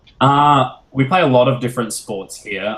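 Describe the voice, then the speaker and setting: In an Australian accent, a man talks at medium pitch and a moderate pace. His intonation stays fairly even. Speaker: musician. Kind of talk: casual Q&A with school class.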